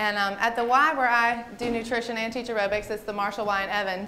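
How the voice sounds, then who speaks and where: Over noticeable background noise, a woman with a Southern US accent speaks very fast at a fairly high pitch in an animated tone. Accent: Southern American. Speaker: registered dietitian and aerobics instructor. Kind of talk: health presentation to a group.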